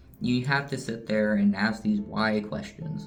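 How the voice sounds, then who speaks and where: Amid noticeable background noise and audible room echo, a man with medium pitch speaks at a moderate pace with very wide pitch swings. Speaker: vlogger. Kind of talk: casual vlog monologue. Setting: hotel bathroom. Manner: halting, many fillers.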